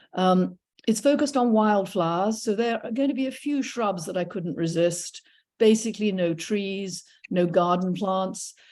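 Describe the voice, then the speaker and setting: With an English accent, a woman speaks at a moderate pace and medium pitch, with ordinary pitch variation, on a very clean recording with a silent background. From England. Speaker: retired professor and naturalist docent. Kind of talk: illustrated talk. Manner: hesitant with frequent fillers.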